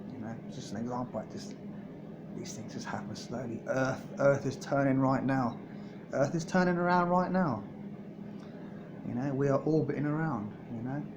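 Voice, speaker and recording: Noticeable background noise and audible room echo surround a man's fairly high voice. His intonation is lively, broken by long, frequent pauses. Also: moderate pace, big swings in loudness. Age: 30s. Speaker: vlogger. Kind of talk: personal video diary. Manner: halting, repetitive.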